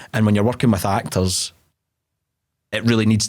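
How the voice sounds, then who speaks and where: In a Glasgow accent, a man speaks with monotone, flat intonation on a very clean recording with a silent background. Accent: Glasgow Scottish. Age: 20s. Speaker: actor. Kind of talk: casual chat.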